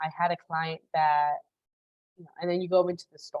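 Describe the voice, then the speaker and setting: A woman with a Spanish accent at a fairly quick pace. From Chicago, US Midwest. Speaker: career coach. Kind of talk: live webinar masterclass. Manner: fast, casual with many fillers.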